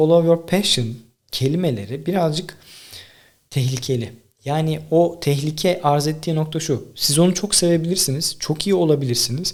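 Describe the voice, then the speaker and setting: Here is a man with a normal speaking voice. His pitch varies in an ordinary way, and his pace is moderate. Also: fairly high pitch for a man. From Tekirdağ, Turkey. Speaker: podcaster and content creator. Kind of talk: solo monologue, casual talk to camera. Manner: conversational, informal.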